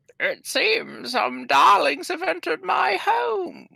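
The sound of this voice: The speaker uses a croaky, put-on character voice. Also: fairly slow pace.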